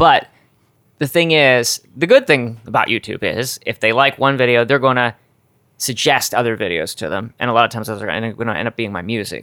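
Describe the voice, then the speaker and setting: With an American accent, a man speaks at a fairly quick pace in a medium pitch, with ordinary pitch variation and a bright, sharp tone, recorded dry and close with no echo in a very clean recording against a silent background. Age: 40s. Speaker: YouTuber and musician. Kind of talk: casual chat. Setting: kitchen at home.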